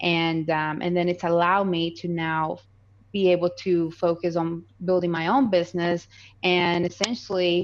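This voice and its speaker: A woman with a slight Colombian accent, fairly low in pitch, at a moderate pace with fairly even intonation over a quiet background. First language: Spanish. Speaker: real estate investor. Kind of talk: podcast interview.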